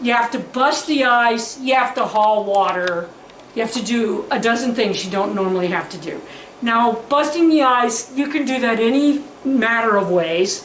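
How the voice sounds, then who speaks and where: With lively intonation and an animated tone, a woman speaks at a fairly high pitch and moderate pace, amid audible room echo and noticeable background noise. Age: 60s. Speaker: farmer and DIY video host. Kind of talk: casual tutorial. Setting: outdoors.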